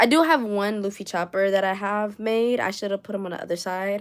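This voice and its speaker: A woman with a New York accent speaks at a medium pitch with ordinary pitch variation in a very clean recording with a silent background. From New York City (Bronx). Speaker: crochet artist and streamer. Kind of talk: casual livestream chat. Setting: livestream at home. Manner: animated, talks with hands; chatty, fast-talking.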